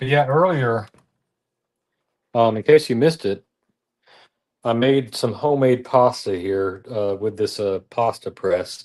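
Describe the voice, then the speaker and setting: The speech moves at a fairly slow pace with ordinary pitch variation over a quiet background. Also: man. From US South, Tennessee. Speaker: cooking livestreamer. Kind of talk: live cooking stream chat. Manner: halting, many fillers.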